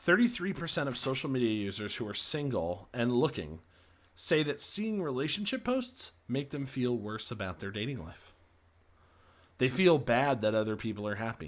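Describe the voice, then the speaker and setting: A man with an American accent speaks at a medium pitch and a moderate pace, with very wide pitch swings. The recording is very clean, with a silent background. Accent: Boston, slight, comes out at times. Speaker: podcast host. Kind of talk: solo livestream talk presenting research.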